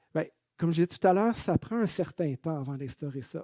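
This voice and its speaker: With a Quebec accent, a man speaks at a moderate pace in a fairly high-pitched voice with a dark, mellow tone. The sound is dry and close, with no echo. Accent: Canadian French (Québécois). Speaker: management consultant. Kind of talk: webinar presentation. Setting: online webinar.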